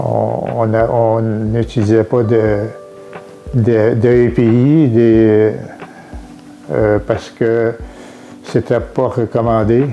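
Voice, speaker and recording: A medium-pitched man in a Quebec accent, with noticeable background noise. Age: 70s. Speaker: retired farmer. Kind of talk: testimony. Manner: halting, many hesitations.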